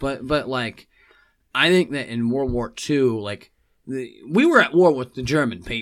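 A man's unremarkable speaking voice at a medium pitch, fairly slow, with ordinary pitch variation. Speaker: podcast guest. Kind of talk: casual chat. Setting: studio.

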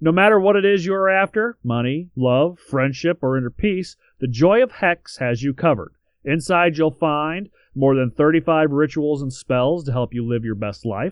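The intonation is lively, in a normal speaking voice. Speech moves at a moderate pace. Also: man, fairly high pitch for a man. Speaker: podcast co-host. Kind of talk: casual chat.

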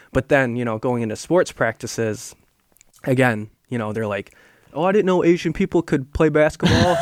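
Heard dry and close with no echo, a man with a plain, everyday voice speaks with lively intonation. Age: 20s. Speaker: adoptee sharing his story. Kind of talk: casual interview.

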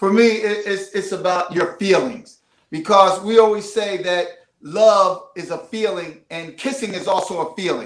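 Speaking in a Philadelphia accent, a man uses a high pitch and fairly even intonation. His pace is fairly slow, and his loudness swings widely. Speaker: marriage coach. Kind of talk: casual interview. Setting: studio.

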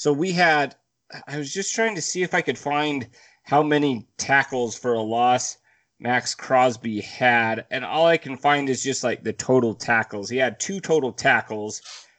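Against a quiet background, a man with an unremarkable speaking voice talks at a fairly slow pace in a medium pitch with ordinary pitch variation. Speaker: podcast co-host. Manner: joking, playful.

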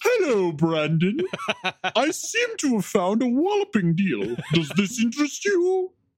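This put-on character voice sits at a fairly high pitch and moves along at a fairly slow pace. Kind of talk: formal, old-fashioned. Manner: pompous.

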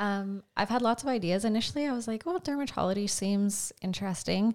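A woman with a Canadian Prairies accent, fairly quick pace and ordinary pitch variation. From rural Saskatchewan, Canada. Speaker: medical student, former fitness coach. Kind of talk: casual interview.

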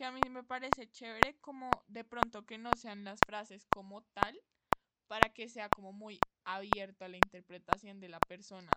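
A woman speaks at a moderate pace with big swings in loudness, in dry, close sound with no echo. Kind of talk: casual chat, planning a podcast. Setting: video call.

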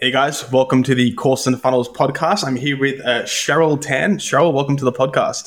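With a normal speaking voice, a man talks at a moderate pace with hardly any pauses, fairly high pitch, ordinary pitch variation and very even loudness. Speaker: podcast host. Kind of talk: interview chat.

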